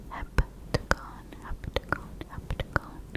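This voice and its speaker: A woman whispering. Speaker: ASMR creator teaching. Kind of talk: soft-spoken ASMR tutorial. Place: home room. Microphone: studio mic.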